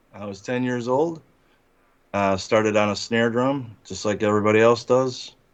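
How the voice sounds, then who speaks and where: A man's medium-pitched voice at a moderate pace. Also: big swings in loudness. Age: 60s. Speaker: rock drummer. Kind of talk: interview. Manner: halting, many fillers.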